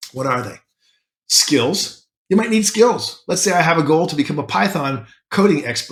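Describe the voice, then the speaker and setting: Speaking at a moderate pace, a man with a high pitch moves through very wide pitch swings. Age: 60s. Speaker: self-help podcaster. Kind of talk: motivational talk. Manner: conversational.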